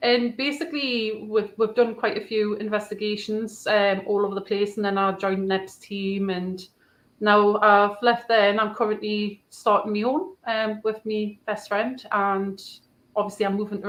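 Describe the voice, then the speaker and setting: This woman has a medium pitch. Her intonation is monotone and flat. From northeast England. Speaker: paranormal investigator. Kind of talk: casual chat. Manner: hesitant, many ums.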